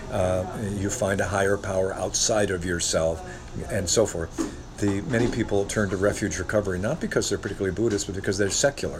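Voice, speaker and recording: Fairly low in pitch, a man with an American accent talks at a fairly quick pace with ordinary pitch variation. Noticeable background noise is present. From Northwest Ohio. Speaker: guest. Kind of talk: casual conversational interview.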